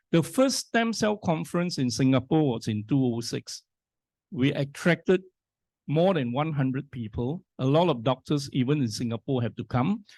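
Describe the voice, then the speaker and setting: A man with an unremarkable speaking voice talks at a moderate pace, his pitch fairly high and his intonation lively. The sound is dry and close with no echo, against a quiet background. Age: 60s. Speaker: scientist and business speaker. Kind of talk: motivational talk.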